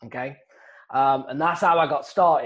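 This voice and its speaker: A man with an English accent at a moderate pace. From England. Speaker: real estate wholesaler, former golf professional. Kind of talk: interview, casual storytelling.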